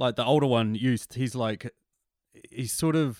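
On a very clean recording with a silent background and a dry, close sound with no echo, a man with a New Zealand accent speaks with fairly even intonation. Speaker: novelist and podcast host. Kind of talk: casual interview.

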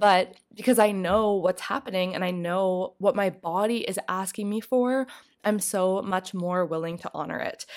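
At a moderate pace, a woman talks in an ordinary speaking voice, medium in pitch with fairly even intonation. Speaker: podcast host and mentor. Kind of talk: solo monologue podcast.

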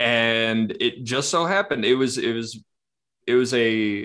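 Against a quiet background, a man talks at a moderate pace in medium pitch, with a normal speaking voice. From Kamloops, British Columbia, Canada. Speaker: trauma therapist. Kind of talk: interview, casual conversation.

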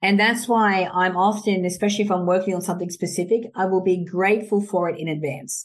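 A woman with an Australian accent speaks very fast, with hardly any pauses. Her pitch is medium and her intonation fairly even. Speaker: author and entrepreneur. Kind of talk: casual interview chat.

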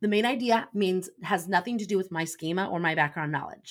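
The voice is a woman's, with ordinary pitch variation. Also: very clean recording, silent background. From Indiana, US Midwest. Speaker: former teacher, education coach. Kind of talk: interview, explaining teaching methods.

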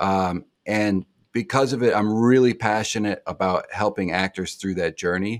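In an ordinary speaking voice, a man talks at a fairly slow pace and a fairly low pitch with ordinary pitch variation, recorded dry and close with no echo. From Indiana, US Midwest. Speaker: actor and acting teacher. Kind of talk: casual interview chat.

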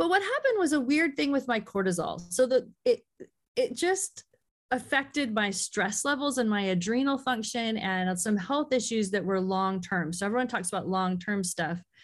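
A woman with a fairly high, somewhat breathy voice moves through very wide pitch swings at a moderate pace. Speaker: author. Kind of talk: casual interview chat.

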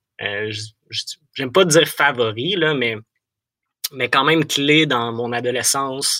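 A man's medium-pitched voice with a bright, sharp tone, ordinary pitch variation and a very slow pace, broken by long, frequent pauses, in a dry, close sound with no echo. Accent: Quebec. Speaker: Bible audiobook narrator. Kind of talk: interview. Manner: halting.

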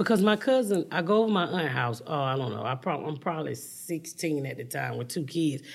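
Using a very deep, low pitch with vocal fry, a woman talks in an animated tone with lively intonation at a fairly quick pace. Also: hardly any pauses. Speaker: stand-up comedian. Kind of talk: interview.

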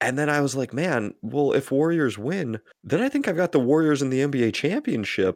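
A man speaks in a normal speaking voice, fairly high-pitched, with lively intonation on a very clean recording with a silent background. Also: fairly quick pace, hardly any pauses. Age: 20s. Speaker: basketball podcast host. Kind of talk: casual chat.

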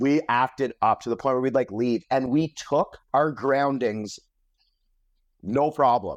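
Dry and close with no echo over a quiet background, a man speaks fairly slowly at a medium pitch, with ordinary pitch variation and very even loudness. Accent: Canadian. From Ontario, Canada. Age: 30s. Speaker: comedian. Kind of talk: casual chat. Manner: animated.

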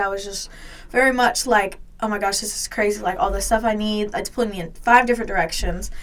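Using a normal speaking voice, a woman with an American accent talks at a fairly quick pace, fairly high in pitch, with ordinary pitch variation. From US South, Georgia. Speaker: college student athlete. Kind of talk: casual interview chat.

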